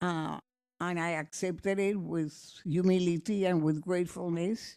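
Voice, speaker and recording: A woman's dark, mellow voice at a moderate pace, monotone with flat intonation, on a very clean recording with a silent background. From Cuba. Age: 80s+. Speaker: honored former town official. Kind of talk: ceremonial speech. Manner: halting.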